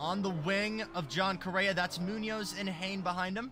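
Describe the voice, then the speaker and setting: A man talks in a high pitch while music plays behind him. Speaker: sim racing commentator. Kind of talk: live commentary. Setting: livestream. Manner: loud; animated.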